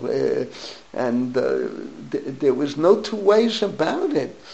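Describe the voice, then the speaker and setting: A man talks with an American accent. There is noticeable background noise. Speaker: rabbi. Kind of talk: lecture.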